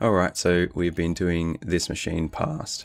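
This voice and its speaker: An Australian accent comes through in this voice. Its speed is moderate. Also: man. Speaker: hacking live streamer. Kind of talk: live stream tutorial. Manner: casual, with many fillers.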